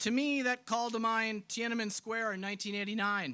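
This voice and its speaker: A man with an American accent speaks fairly quickly at a high pitch. His raised, projected voice has a bright, sharp tone. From Wisconsin, Clark County. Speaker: politician. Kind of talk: political rally speech. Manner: emphatic, rhetorical.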